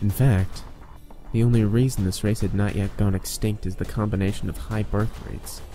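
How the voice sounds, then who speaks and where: A man talks in a fairly low voice at a moderate pace. There is music in the background. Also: fairly even intonation. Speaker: voice actor. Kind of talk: creepypasta story narration.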